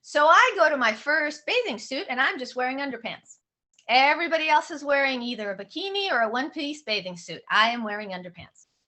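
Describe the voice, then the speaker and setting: Animated and high-pitched, a woman speaks at a fairly quick pace with very wide pitch swings. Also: big swings in loudness. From born in Odessa, Soviet Union; raised in San Francisco. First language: Russian. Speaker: author. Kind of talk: book talk.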